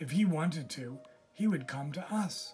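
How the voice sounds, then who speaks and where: Faint music plays in the background as a man does a raspy, put-on character voice with a fairly high pitch. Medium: read story. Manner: calm, patient.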